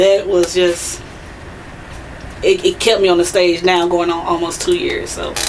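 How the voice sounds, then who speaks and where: Against noticeable background noise and audible room echo, a woman talks at a fairly slow pace in a monotone, flat intonation, leaving long, frequent pauses. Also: medium pitch for a woman. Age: 30s. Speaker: poet. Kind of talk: interview.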